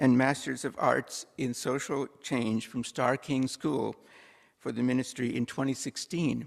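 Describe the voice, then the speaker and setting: On a very clean recording with a silent background, a man with a medium pitch and vocal fry talks at a fairly slow pace. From India. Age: 60s. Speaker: church worship associate. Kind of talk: church announcements and introduction. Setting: church service. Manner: formal.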